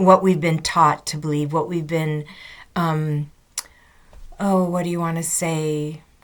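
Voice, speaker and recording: A woman's fairly low-pitched voice. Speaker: spiritual vlogger. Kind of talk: casual monologue. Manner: halting.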